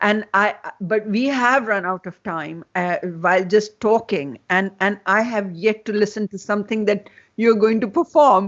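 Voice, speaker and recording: Speaking at a fairly slow pace, a woman has a Pakistani accent. Her pitch is medium, with ordinary variation. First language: Urdu. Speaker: festival host and interviewer. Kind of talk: interview conversation. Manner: halting, many fillers and repetitions.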